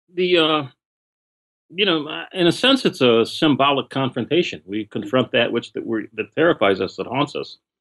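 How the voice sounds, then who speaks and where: A man with an American accent at a moderate pace, fairly high-pitched with very wide pitch swings and vocal fry, in a dry, close sound with no echo. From US Midwest, Detroit. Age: 60s. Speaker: author on culture and guns. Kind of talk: interview. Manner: halting.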